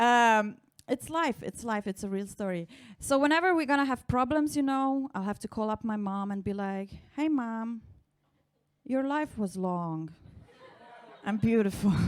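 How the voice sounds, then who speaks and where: In a Slovenian accent, a woman speaks at a moderate pace with a fairly high pitch and lively intonation, leaving long, frequent pauses. The recording is very clean with a silent background. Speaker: stand-up comedian. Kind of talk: stand-up. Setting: stage with audience.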